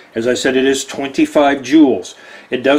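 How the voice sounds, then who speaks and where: With an American accent and a fairly high pitch, a man speaks at a moderate pace amid noticeable background noise. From Texas. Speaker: watch deal presenter. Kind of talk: product presentation. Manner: animated.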